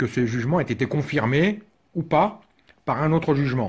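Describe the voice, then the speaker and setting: This man's voice comes across somewhat breathy. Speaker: father's rights advocate. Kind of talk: tutorial talk to camera. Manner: hesitant, casual.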